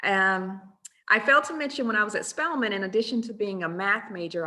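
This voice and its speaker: The voice has a bright, sharp tone and lively intonation, in an American accent. The pace is moderate. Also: woman. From US South, rural Georgia. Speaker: math professor. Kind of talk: webinar presentation. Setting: online webinar. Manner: hesitant with frequent um fillers.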